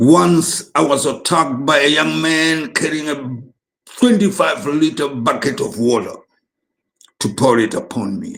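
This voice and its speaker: This man's voice sits fairly high and swings very widely in pitch, with vocal fry. He talks at a fairly slow pace. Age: 70s. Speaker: preacher. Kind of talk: testimony.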